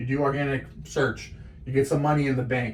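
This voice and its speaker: A somewhat breathy voice at a fairly quick pace. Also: man. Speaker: small business owner teaching marketing. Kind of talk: tutorial. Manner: fast; animated.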